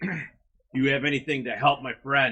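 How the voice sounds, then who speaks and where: In a put-on character voice, a man speaks raspy and raised, projecting at a medium pitch with a fairly quick pace and fairly even intonation. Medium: actual play.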